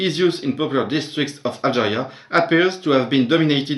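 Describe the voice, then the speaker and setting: Using ordinary pitch variation, a man with a fairly high voice speaks at a moderate pace. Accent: French. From France. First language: French. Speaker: literature teacher. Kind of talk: academic conference presentation.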